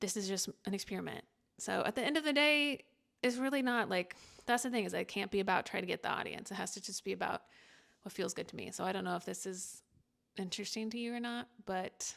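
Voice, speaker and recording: At a very fast pace, a woman speaks at a medium pitch with ordinary pitch variation. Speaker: creator documenting a personal creative experiment. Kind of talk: casual reflective monologue. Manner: halting, many fillers and restarts.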